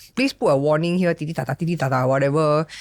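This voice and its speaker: A woman with a Singaporean accent speaks in an animated tone. The recording is very clean, with a silent background. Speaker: podcast host. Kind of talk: casual chat. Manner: loud.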